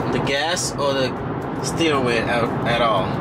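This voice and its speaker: Loud background noise surrounds a man as he talks. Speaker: car vlogger. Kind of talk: casual vlog chat. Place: car.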